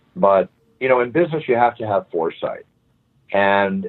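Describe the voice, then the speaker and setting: Fairly quick speech in an American accent. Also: man. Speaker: fight announcer. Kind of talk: interview answer.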